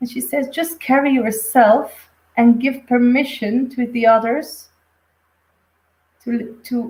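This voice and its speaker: In a Flemish accent, a woman speaks at a high pitch with fairly even intonation. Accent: Flemish Dutch accent in English. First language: Dutch. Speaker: intuitive medium. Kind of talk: live stream reading. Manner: halting.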